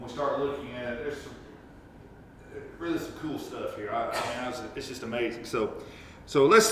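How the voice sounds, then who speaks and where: A man with a fairly high pitch talks at a fairly quick pace, taking long, frequent pauses, his loudness swinging widely amid noticeable background noise and audible room echo. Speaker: Sunday school teacher. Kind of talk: Bible study lesson. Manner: halting.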